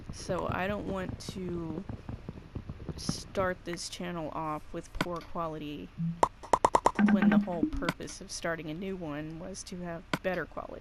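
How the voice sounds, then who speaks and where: A woman with a fairly low pitch, a fairly slow pace, ordinary pitch variation, big swings in loudness and long, frequent pauses, over noticeable background noise. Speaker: gaming YouTuber. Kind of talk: let's play commentary. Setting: at home recording from game console. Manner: casual, conversational.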